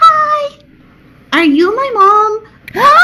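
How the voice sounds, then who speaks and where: In a put-on character voice, the speaker hits an extremely high pitch. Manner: cute, innocent.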